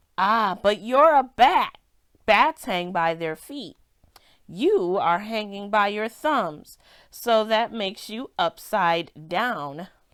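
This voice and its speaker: Using a put-on character voice, a woman talks loudly at a very slow pace and a medium pitch. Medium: read story. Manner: blunt, matter-of-fact.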